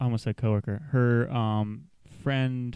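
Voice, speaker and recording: A man's medium-pitched voice, with ordinary pitch variation, comes through on a very clean recording against a silent background. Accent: American. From rural US South. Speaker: podcast co-host. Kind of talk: casual chat. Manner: animated, halting with fillers. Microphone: mic held very close to mouth.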